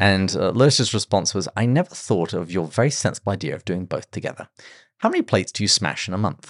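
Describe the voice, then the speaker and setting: At a very fast pace, a man with fairly low pitch speaks with ordinary pitch variation. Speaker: podcast host. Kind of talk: casual podcast discussion.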